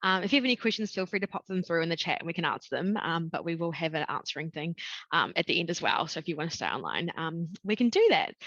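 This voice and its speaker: A woman speaks very fast with a New Zealand accent. Her pitch varies in an ordinary way, and the sound is dry and close with no echo. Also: fairly low pitch for a woman. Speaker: education recruitment consultant. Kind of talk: webinar presentation. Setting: video call webinar. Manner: casual, frequent 'um' fillers.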